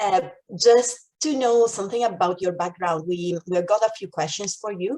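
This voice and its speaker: With an Italian accent, a woman talks at a medium pitch. Her tone is dark and mellow, with ordinary pitch variation. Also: moderate pace. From Italy. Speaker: maths outreach coordinator. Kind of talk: conference presentation.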